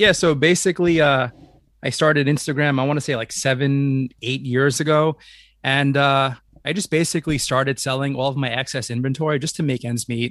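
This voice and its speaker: Against a quiet background, a man with an American accent talks at a fairly quick pace and a fairly high pitch. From New York City (Staten Island). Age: 30s. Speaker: toy line founder and collector. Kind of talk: podcast interview. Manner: animated.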